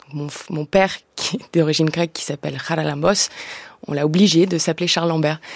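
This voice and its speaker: This woman has a very deep, low voice and a fairly even intonation, moving at a fairly quick pace. Her loudness swings widely, and the sound is dry and close with no echo. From Greek and New Zealand family, raised in France from age 6-7. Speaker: actress. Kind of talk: radio interview. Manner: halting, repeats words.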